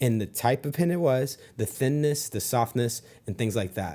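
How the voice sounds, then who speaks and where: This man mumbles at a fairly quick pace in a medium pitch, with a dark, mellow tone and lively intonation. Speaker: sales trainer. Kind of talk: sales tutorial with role-play. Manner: mumbling.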